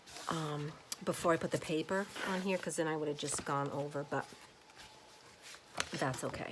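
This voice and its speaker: A soft-spoken woman talks at a fairly slow pace. There is noticeable background noise behind her. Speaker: crafter, home daycare provider. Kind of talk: craft tutorial. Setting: at home, kids sleeping. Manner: soft-spoken, quiet; casual with many fillers.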